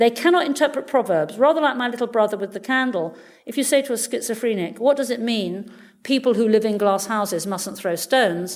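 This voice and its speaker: A woman with lively intonation, a fairly high pitch, and a fairly quick pace. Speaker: neuroscientist. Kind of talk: lecture. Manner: fast.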